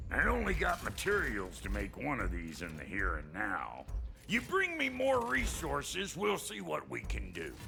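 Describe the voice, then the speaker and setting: A man performs a cartoonish character voice. Clear background noise can be heard. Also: moderate pace. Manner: gruff, profane.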